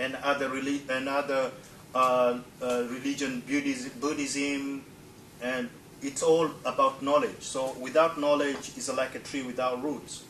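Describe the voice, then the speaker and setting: Amid noticeable background noise, a man speaks at a fairly slow pace in a monotone, flat intonation. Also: medium pitch for a man. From Tanzania (Zanzibar). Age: 40s. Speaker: presenter. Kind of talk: presentation. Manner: halting.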